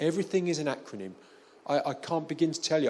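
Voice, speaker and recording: A man with a London accent, talking at a very fast pace. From London, England. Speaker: development finance specialist. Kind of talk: panel interview. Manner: halting, many fillers.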